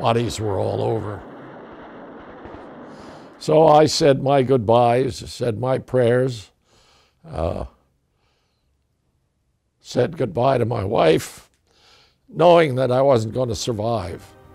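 With an American accent, a man talks very slowly in a dark, mellow tone with vocal fry, lively intonation, and long, frequent pauses. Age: 80s+. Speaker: war veteran. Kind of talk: interview answer. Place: home room.

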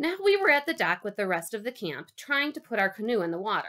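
Here we hear a natural reading voice.

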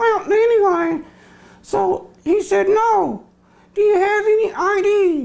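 This cartoonish character voice belongs to a man and sits at an extremely high pitch. He talks at a fairly slow pace. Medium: puppet.

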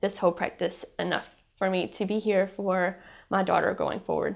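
Against a quiet background, a woman speaks at a moderate pace with vocal fry. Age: 30s. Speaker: cancer patient. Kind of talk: testimony. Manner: halting, many filler ums. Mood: grateful, emotional. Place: studio. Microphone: lapel.

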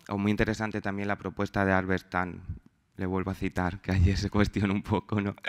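A man talks at a fairly quick pace in a fairly low pitch. His intonation is monotone and flat, and the background is quiet. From Spain, Extremadura. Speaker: researcher. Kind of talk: conference talk. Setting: stage with audience. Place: hall.

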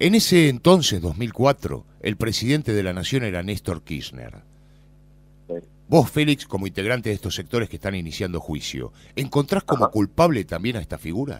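A man's fairly low voice with vocal fry and a Rioplatense accent, very wide pitch swings, a moderate pace, and a very clean recording over a silent background. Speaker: radio host and interviewer. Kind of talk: radio interview. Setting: outdoors at a memorial event outside a nightclub.

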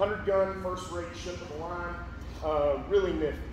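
With noticeable background noise and audible room echo, a man speaks at a moderate pace. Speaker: presenter. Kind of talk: lecture. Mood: relaxed, anecdotal. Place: hall.

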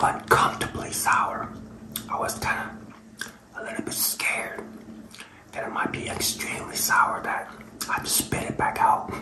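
A man whispering at a moderate pace, with long, frequent pauses. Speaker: food reviewer. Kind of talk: casual review vlog chat. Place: kitchen. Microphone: phone near.

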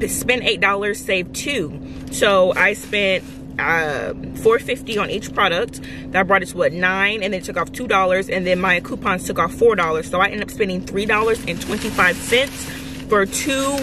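A woman at a moderate pace, dry sound with no echo, noticeable background noise. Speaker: couponing vlogger. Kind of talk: casual vlog chat. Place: car. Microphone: phone near.

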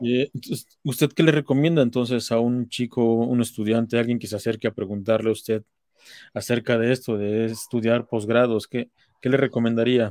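Set against a quiet background, the dry sound with no echo carries a dark, mellow tone at a moderate pace with fairly even intonation. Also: man. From Mexico. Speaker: interviewer, online talk series host. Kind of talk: interview. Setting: live stream. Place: home room. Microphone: webcam.

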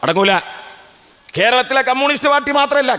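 A man's raised, projected voice at an extremely high pitch, against a quiet background. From Kerala, Kozhikode district; Kerala, India. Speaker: political speaker; speaker. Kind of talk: political speech at memorial rally. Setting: outdoor public meeting under a tent. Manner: oratorical, rhetorical questions to audience. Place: stage. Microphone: podium.

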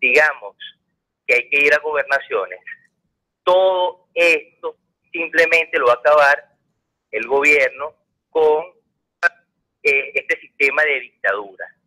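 A man speaks fairly slowly. Behind him, the background stays quiet. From Venezuela. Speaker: caller; politician hosting a Q&A show. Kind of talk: phone-in comment. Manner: halting. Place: studio. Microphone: studio mic.

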